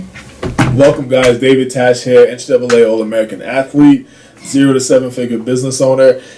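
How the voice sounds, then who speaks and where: A man's flat, monotone delivery at a fairly quick pace, with noticeable background noise. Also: medium pitch for a man. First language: not English. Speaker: business owner, marketing agency founder. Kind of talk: casual explainer video. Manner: halting, many fillers.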